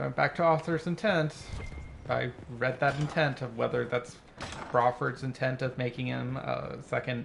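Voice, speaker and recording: The man's moderate delivery is broken by long, frequent pauses, with noticeable background noise throughout. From California. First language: Spanish. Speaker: gaming streamer. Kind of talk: casual gameplay chat. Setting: living room at night.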